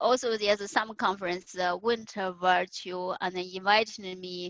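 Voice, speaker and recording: In a Chinese accent, a woman of medium pitch speaks at a fairly slow pace. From China. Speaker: conference speaker. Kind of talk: interview. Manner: halting, many fillers.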